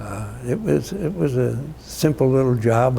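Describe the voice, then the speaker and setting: A man speaks at a medium pitch with a US Midwestern accent. Noticeable background noise runs under his voice. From Illinois, US Midwest. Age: 80s+. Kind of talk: oral history interview answer. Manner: hesitant, reflective, many fillers.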